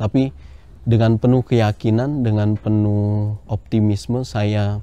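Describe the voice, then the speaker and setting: A man with a fairly low pitch speaks in a normal speaking voice with fairly even intonation. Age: 20s. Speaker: livestock farmer. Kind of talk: interview testimony.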